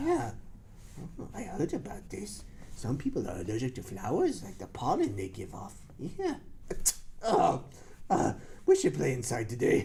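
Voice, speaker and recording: A cartoonish character voice breaks up its speech with long, frequent pauses. Clear background noise runs underneath. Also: moderate pace. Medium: puppet. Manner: hesitant, slow.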